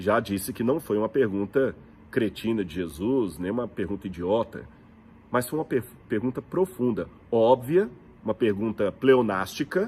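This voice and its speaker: Speaking in a Brazilian accent, a man uses lively intonation at a medium pitch and a moderate pace. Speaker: preacher and biblical archaeology teacher. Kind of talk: religious teaching talk. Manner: conversational, rhetorical questions.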